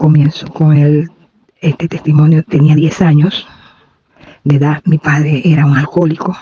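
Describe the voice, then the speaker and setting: At a moderate pace, a woman with a very deep, low pitch speaks in a monotone, flat way at very even loudness, leaving long, frequent pauses. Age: 70s. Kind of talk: testimony.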